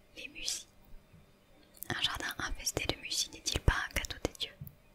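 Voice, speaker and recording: A woman whispers at a fairly slow pace. Noticeable background noise sits behind her. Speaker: ASMR creator. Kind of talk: whispered book reading. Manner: whispered, soft.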